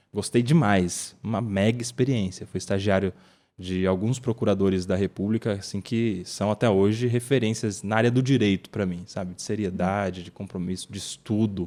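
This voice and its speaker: Fairly low-pitched male voice with a dark, mellow tone, moderate pace and fairly even intonation, on a very clean recording with a silent background. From interior of São Paulo state, Brazil. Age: 30s. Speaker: lawyer and political commentator. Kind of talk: casual podcast interview. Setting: podcast studio.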